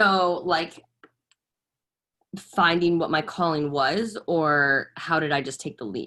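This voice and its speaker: Speaking at a very slow pace with long, frequent pauses, a woman with an American accent has a bright, sharp tone and a fairly low pitch. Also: ordinary pitch variation. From Boston, US. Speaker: fitness coach. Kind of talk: personal talk on live stream. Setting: live stream.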